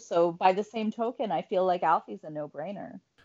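An unremarkable speaking voice from a woman, with lively intonation at a moderate pace. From Canada, Ottawa. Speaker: sports radio co-host. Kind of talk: casual chat.

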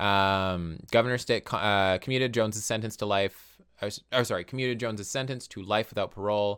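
In an unremarkable speaking voice, the speaker goes at a fairly quick pace with hardly any pauses and fairly even intonation. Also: man, fairly low pitch for a man. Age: 20s. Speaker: podcast co-host. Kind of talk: casual chat.

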